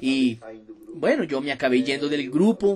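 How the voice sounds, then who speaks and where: A man speaks in an animated tone, his pitch swinging very widely. Noticeable background noise sits behind him. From Brazil, Minas Gerais. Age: 20s. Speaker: network marketing distributor. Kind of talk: motivational testimony.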